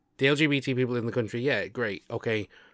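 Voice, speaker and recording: An animated tone with a British accent, in a very clean recording over a silent background. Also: man. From UK. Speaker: podcast host. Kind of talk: casual chat. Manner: animated, joking.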